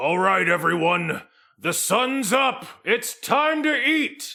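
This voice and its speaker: A man uses a put-on character voice at an extremely high pitch. He projects it in a raised voice at a very slow pace. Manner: hearty, commanding.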